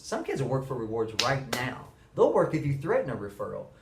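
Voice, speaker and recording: Amid noticeable background noise and audible room echo, a man speaks at a fairly quick pace and fairly high pitch. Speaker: middle school teacher. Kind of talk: monologue to camera. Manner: fast.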